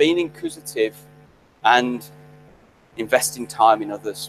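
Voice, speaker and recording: Against music in the background, a man speaks at a fairly quick pace with fairly even intonation. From West Midlands, England (Birmingham/Solihull). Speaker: graduation guest speaker, chemist. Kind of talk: ceremonial speech.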